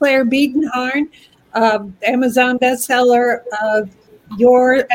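The speaker has a Southern US accent and ordinary pitch variation. The delivery is very slow. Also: woman. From Kentucky, Louisville. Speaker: spiritual care author. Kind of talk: casual chat.

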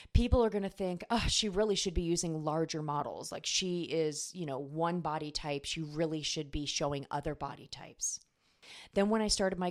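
At a fairly quick pace, a woman with a normal speaking voice and fairly low pitch shows ordinary pitch variation on a very clean recording with a silent background. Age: 40s. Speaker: life and business coach, podcast host. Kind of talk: solo podcast monologue, coaching talk.

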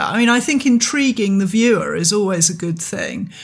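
A woman's somewhat breathy voice. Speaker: podcast host and artist. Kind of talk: casual conversational podcast discussion.

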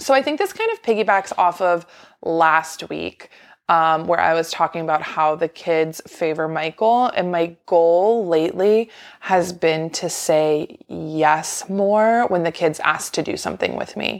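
A woman with a normal speaking voice talks fairly slowly at a fairly low pitch, with ordinary pitch variation. The recording is very clean, the background silent. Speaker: pediatric speech language pathologist. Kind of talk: casual chat.

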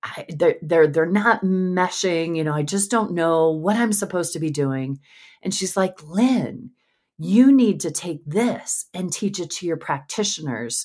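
Over a very clean recording with a silent background, a woman with an unremarkable speaking voice talks at a fairly slow pace, her fairly low pitch carrying lively intonation. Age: 50s. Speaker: pelvic health physical therapist. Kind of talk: interview.

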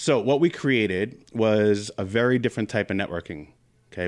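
A man speaks in an American accent at a medium pitch and moderate pace, with lively intonation. It is a normal speaking voice in a very clean recording with a silent background. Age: 40s. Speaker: business network founder and financial planner. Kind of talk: interview. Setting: studio.

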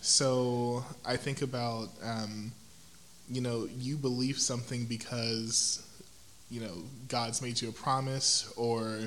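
A man with an American accent speaks at a very slow pace and medium pitch, his intonation monotone and flat, with audible room echo. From Houston, Texas. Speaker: educator, church praise team singer. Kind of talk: casual interview.

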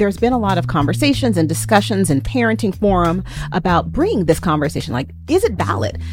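Music behind a woman talking at a very fast pace. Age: 40s. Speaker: podcast host. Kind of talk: casual chat.

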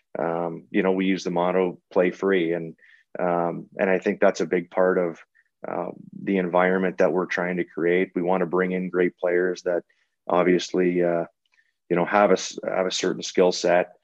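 A very deep, low male voice at a moderate pace, monotone and flat in intonation. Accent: Canadian. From Eastern Ontario, Canada. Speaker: college hockey coach. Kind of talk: interview conversation.

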